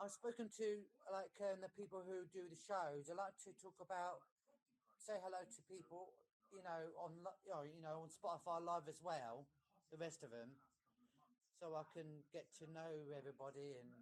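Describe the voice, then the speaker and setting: A man with an English accent talks in a high voice at a moderate pace, with long, frequent pauses. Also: ordinary pitch variation. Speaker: caller. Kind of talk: casual chat. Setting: live audio stream call. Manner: halting.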